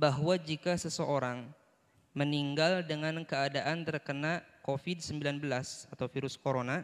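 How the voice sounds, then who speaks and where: A man talks at a fairly slow pace in a very clean recording with a silent background. He has a normal speaking voice, fairly high in pitch, with fairly even intonation. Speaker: moderator reading questions. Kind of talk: reading out a viewer's question.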